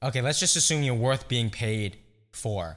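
In a very clean recording with a silent background, a man speaks with ordinary pitch variation. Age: 20s. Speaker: podcast host. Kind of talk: casual chat. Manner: loud.

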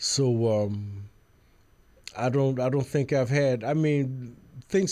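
A man with an American accent speaks at a very slow pace with long, frequent pauses, a medium pitch, ordinary pitch variation, very even loudness and a dark, mellow tone. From Brooklyn, New York City. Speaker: jazz musician. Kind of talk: radio interview. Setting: radio studio.

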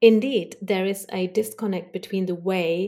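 A woman with a non-native accent and a dark, mellow tone speaks at medium pitch and a fairly slow pace, with fairly even intonation. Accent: foreign-accented English. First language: not English. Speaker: leadership coach. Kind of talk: casual interview chat.

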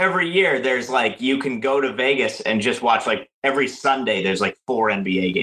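A man with an unremarkable speaking voice talks at a fairly quick pace and medium pitch, with ordinary pitch variation, very even loudness and hardly any pauses. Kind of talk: casual chat, storytelling.

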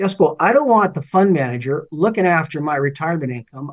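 A man speaks at a moderate pace with a Canadian accent, his pitch fairly high. It is an ordinary speaking voice. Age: 60s. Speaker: finance commentator and former political candidate. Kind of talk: interview.

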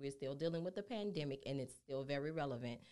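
A woman with a New Orleans accent and ordinary pitch variation. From New Orleans, Louisiana. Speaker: healthcare business owner. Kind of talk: podcast interview.

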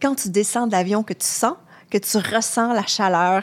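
In an ordinary speaking voice, a woman talks at a fairly slow pace with ordinary pitch variation, on a very clean recording with a silent background. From Quebec. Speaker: travel journalist. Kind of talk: podcast interview. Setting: studio.

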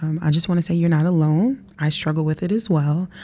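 A woman's dark, mellow, somewhat breathy voice at a fairly quick pace. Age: young. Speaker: podcast host. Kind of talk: casual interview; scripted intro.

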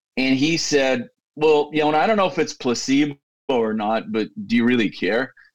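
An ordinary speaking voice from a man with fairly high pitch and lively intonation. His loudness stays very even at a moderate pace. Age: 50s. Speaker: tech company CEO. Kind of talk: interview conversation.

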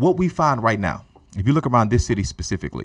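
Delivered at a fairly quick pace with lively intonation, a plain, everyday voice comes through over a quiet background. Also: man. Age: 30s. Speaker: pastor. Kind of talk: casual chat. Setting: studio.

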